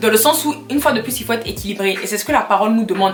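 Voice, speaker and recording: Noticeable background noise under a woman's fairly high voice. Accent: Ivorian. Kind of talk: casual vlog talk with Bible exhortation.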